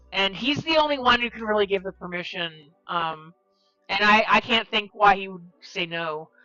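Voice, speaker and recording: Over music in the background, the speaker talks at a moderate pace with lively intonation and big swings in loudness. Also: woman, medium pitch for a woman. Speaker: live streamer. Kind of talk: casual chat. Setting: live stream. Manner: halting, many fillers.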